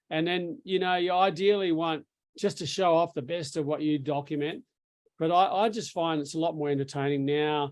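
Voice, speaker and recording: This man has an Australian accent, a fairly high pitch, fairly even intonation and a moderate pace. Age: 60s. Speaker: surf filmmaker. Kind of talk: casual interview. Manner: halting, repetitive fillers.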